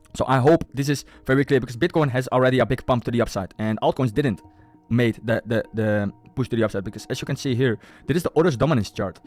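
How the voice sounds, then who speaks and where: With music in the background, a man talks at a very fast pace in an animated tone, with a medium pitch, ordinary pitch variation and a dry, close sound with no echo. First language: Dutch. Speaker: crypto investor and YouTuber. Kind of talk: market analysis tutorial with screen share. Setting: screen share. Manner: casual, animated; halting with repetitions.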